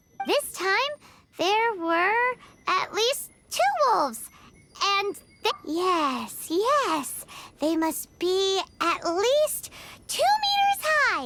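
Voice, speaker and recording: In a put-on character voice that is squeaky and extremely high-pitched, the speech comes at a very slow pace with long, frequent pauses. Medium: video game. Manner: confident, hasty, slightly bluffing.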